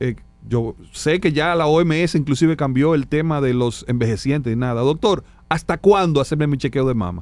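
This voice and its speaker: A man with an ordinary speaking voice talks at a fairly quick pace, his fairly high pitch showing ordinary pitch variation. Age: 50s. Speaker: doctor. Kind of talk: medical interview on radio.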